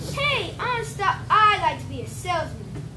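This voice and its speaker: A woman puts on a squeaky character voice at a moderate pace, with audible echo. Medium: stage play.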